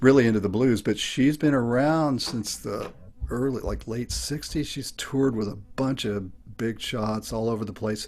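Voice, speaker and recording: Over music in the background, a man at medium pitch talks at a moderate pace with ordinary pitch variation. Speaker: open mic performer. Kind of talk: casual chat. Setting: video call. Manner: halting.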